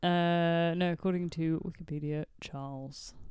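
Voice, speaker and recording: A woman with a fairly low pitch speaks in an ordinary speaking voice, her intonation fairly even. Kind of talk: casual chat. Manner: playful, laughs often.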